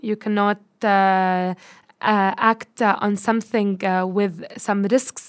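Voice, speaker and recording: Speaking in a Lebanese accent, a woman with a medium-pitched voice talks at a fairly slow pace with fairly even intonation, in a very clean recording with a silent background. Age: 20s. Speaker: marketer and data analyst. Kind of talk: interview. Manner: hesitant, many fillers.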